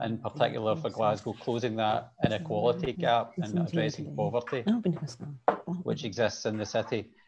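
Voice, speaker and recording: Clear music plays in the background as a man speaks at a moderate pace with lively intonation. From Scotland. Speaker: city planner; presenter. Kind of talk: presentation. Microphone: video call.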